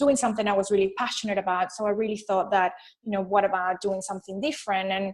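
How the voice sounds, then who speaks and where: A woman speaks very fast at a medium pitch. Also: fairly even intonation. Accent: Venezuelan. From Venezuela. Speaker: business consultant. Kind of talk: interview.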